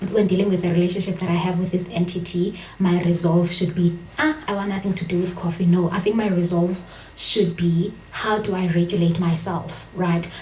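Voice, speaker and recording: A woman's fairly low voice with a South African accent, monotone and flat, amid audible room echo and noticeable background noise. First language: Xhosa. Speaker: vlogger. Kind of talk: casual vlog monologue. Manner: code-switching, hesitant with fillers.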